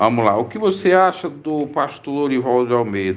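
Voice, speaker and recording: A man talks fairly slowly, and his pitch swings very widely from high to low. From Brazil, Santa Catarina. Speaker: preacher and religious commentator. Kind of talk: live stream Q&A.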